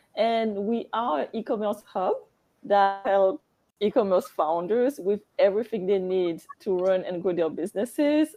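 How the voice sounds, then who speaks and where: A woman speaks in a French accent at a medium pitch. Her pace is moderate, with ordinary pitch variation. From Guadeloupe. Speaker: business founder. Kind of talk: panel discussion.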